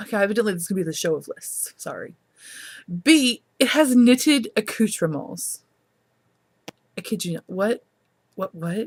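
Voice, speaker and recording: A woman talks at a moderate pace in an animated, somewhat breathy voice, fairly high with very wide pitch swings. The sound is dry and close with no echo. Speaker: knitting podcast host. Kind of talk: casual chat.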